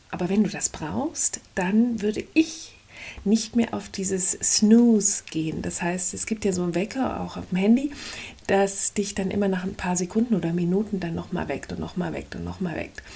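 The speaker talks at a moderate pace with ordinary pitch variation and some vocal fry. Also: woman, medium pitch for a woman. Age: 50s. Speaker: life coach podcaster. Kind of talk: motivational monologue. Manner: energetic.

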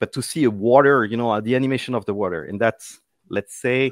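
A man with a French accent at a fairly quick pace, ordinary pitch variation, and a dry, close sound with no echo. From France (Paris). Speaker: tech solutions architect. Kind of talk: interview. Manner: halting.

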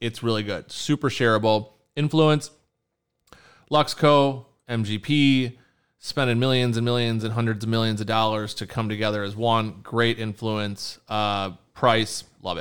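A man speaks in a normal speaking voice at a moderate pace. His pitch varies in an ordinary way. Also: medium pitch for a man. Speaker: whiskey podcast host. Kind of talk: casual chat, whiskey tasting review. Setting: home bar recording space.

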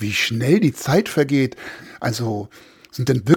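The clip features a natural reading voice.

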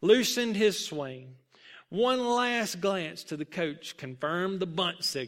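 Lively intonation marks this clip. It is plain reading aloud.

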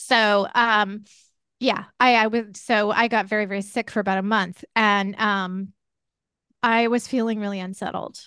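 A woman has a plain, everyday voice at a medium pitch, with fairly even intonation. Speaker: podcast host and former caregiver. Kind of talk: interview.

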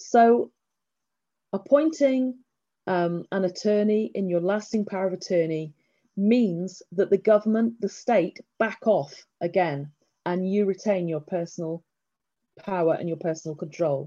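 A woman with an English accent speaks at a fairly slow pace in a dark, mellow tone. Her medium-pitched voice carries lively intonation. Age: 50s. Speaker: estate planning lawyer. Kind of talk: presentation. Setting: video call.

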